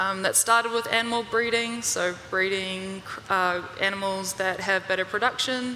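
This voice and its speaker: A woman with an American accent speaks at a very even loudness and with fairly even intonation, over noticeable background noise. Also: medium pitch for a woman, moderate pace. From New Zealand, Bay of Plenty. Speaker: research assistant and consultant. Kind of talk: panel interview.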